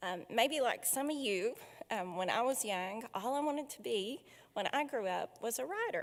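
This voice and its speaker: At a moderate pace, a woman speaks with an Appalachian accent and ordinary pitch variation. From Appalachia, southwest Virginia. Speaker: foundation director hosting a literary event. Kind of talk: welcome speech and author introduction. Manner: frequent filler hesitations.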